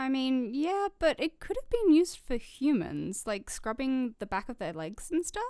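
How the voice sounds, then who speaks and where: Speaking with an Australian accent, a woman has a high-pitched yet dark, mellow tone with very wide pitch swings. Her pace is moderate, with hardly any pauses. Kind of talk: scripted audio drama radio show host.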